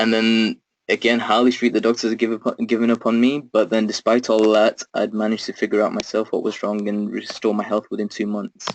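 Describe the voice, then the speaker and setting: A man at a medium pitch talks at a fairly quick pace with hardly any pauses. His intonation is monotone and flat, and the sound is dry and close with no echo. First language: Urdu. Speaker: self-development webinar host. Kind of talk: webinar talk. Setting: online webinar. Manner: hesitant, many fillers.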